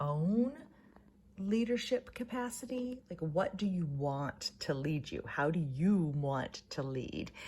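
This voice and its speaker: A somewhat breathy female voice. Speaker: ritual guide. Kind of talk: spiritual guided reflection to camera.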